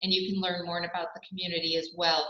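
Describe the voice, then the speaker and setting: A woman talks at a very fast pace with audible room echo. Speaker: local tourism representative. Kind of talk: presentation.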